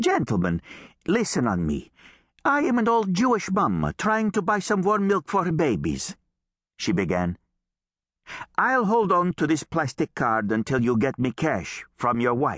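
A man's fairly high, animated voice with very wide pitch swings and very even loudness, at a fairly slow pace, dry and close with no echo over a quiet background. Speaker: audiobook narrator. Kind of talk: audiobook narration with character voices. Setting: studio. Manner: animated, comic character voices, mimicking a pushy immigrant mother's haggling.

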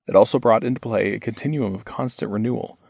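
Vocal fry runs through this man's medium-pitched voice as he talks at a fairly quick pace with ordinary pitch variation. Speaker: audiobook narrator. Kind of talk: audiobook narration. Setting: studio. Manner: formal; measured, steady scholarly delivery.

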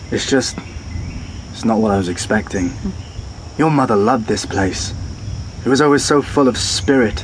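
A man with a British accent at a moderate pace and medium pitch, with ordinary pitch variation, long, frequent pauses and noticeable background noise. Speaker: audiobook narrator. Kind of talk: dramatic audiobook narration with dialogue. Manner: dark, measured, gothic, a wry dry edge in dialogue, vivid in the gory description.

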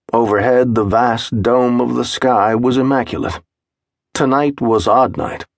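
At a fairly slow pace, a man with a normal speaking voice and medium pitch talks with fairly even intonation. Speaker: audiobook narrator. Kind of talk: scripted audiobook narration, dramatic third-person storytelling. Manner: measured, atmospheric, unhurried, descriptive pacing.

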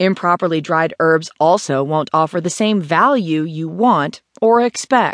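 A woman speaks at a moderate pace with lively intonation in an unremarkable speaking voice. The sound is dry and close with no echo, over a quiet background. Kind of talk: audiobook narration, scripted how-to reading. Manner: even, measured, clear and instructive.

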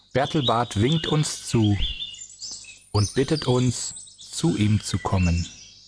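Over noticeable background noise, a man talks at a very slow pace with long, frequent pauses. His intonation is lively and his loudness very even. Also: medium pitch for a man. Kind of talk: guided meditation. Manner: slow, calm and soothing, with gentle pauses; soft-spoken, warmly inviting, in a dreamy storyteller's cadence.

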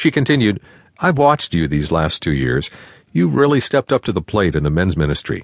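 A man talks with vocal fry, a warm tone and very wide pitch swings. The sound is dry and close with no echo, against a quiet background. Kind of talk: audiobook narration. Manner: measured, warm and earnest, storytelling pace; formal, clear, even delivery.

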